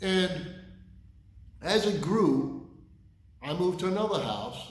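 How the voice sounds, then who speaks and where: In a room with audible echo, a man speaks at a high pitch. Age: 60s. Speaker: firefighter and lawn care business owner. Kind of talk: casual storytelling. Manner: conversational, filler words.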